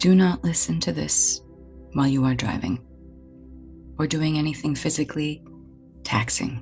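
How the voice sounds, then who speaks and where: With music playing in the background, a soft-spoken woman talks at a fairly slow pace. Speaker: energy healer, spiritual mentor. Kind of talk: guided meditation.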